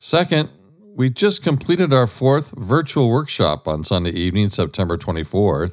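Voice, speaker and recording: A man speaks at a medium pitch and a moderate pace. His voice shows very wide pitch swings and some vocal fry. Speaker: podcast host. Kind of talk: interview, conversational.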